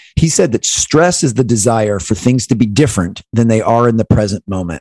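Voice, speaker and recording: A man with an American accent talks at a fairly quick pace at medium pitch, in a plain, everyday voice. The sound is dry and close, with no echo. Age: 40s. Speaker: keynote speaker and former basketball performance coach. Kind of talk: interview.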